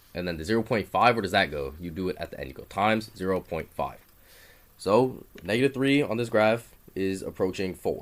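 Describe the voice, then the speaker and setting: His voice is fairly low for a man. He speaks at a fairly quick pace. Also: big swings in loudness. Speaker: math tutor. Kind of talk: tutorial. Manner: fast; casual, hesitant.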